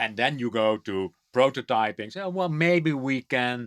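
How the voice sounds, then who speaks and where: This man has a medium pitch and lively intonation. The recording is very clean with a silent background and a dry, close sound with no echo. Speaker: HR trends podcast co-host. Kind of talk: conversational podcast discussion. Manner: halting, with many repetitions and fillers.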